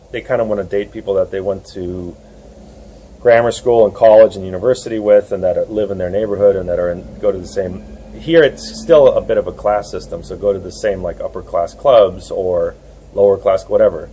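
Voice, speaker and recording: A man with a New York accent talks at a fairly quick pace, his loudness swinging widely. Noticeable noise sits in the background. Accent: American (New York). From USA. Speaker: dating coach and author. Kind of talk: interview. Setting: outdoors in a churchyard.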